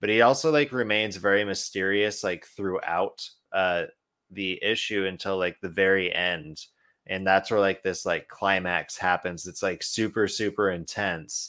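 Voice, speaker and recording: On a very clean recording with a silent background, a man with an American accent uses a normal speaking voice at a fairly low pitch and fairly slow pace, with ordinary pitch variation. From Idaho, western US. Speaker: comic book podcast co-host. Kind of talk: casual chat.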